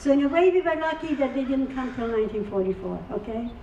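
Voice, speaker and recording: Fairly quick speech with audible room echo and noticeable background noise. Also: woman. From Czechoslovakia (now Ukraine), Carpathian village. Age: 80s+. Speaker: Holocaust survivor speaker. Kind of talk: testimony.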